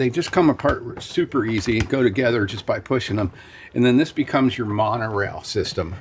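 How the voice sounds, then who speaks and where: The delivery is fairly quick. The voice sounds somewhat breathy, and its pitch varies in an ordinary way. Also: man, medium pitch for a man. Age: 70s. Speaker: toy store owner. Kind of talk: casual interview during store tour. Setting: in a toy store. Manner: conversational, hesitant with fillers.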